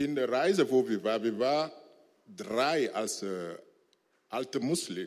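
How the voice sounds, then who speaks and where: Lively intonation in a man's medium-pitched speech. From Togo. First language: not German (speaking German). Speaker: former imam, church member. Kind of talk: church interview testimony. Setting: church stage with congregation. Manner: halting, broken German.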